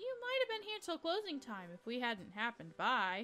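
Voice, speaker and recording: A woman speaks in a put-on character voice. Clear music plays in the background. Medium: game stream. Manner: mild, vague.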